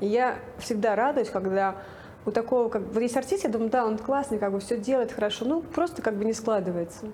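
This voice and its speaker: This woman talks at a fairly quick pace in a fairly high voice, with ordinary pitch variation and very even loudness over noticeable background noise. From Russia, Nizhny Novgorod. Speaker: casting director. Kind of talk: interview.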